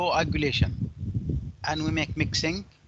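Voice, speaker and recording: A man's pitch swings very widely. Noticeable background noise is present. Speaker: university lecturer. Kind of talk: online lecture. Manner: slow.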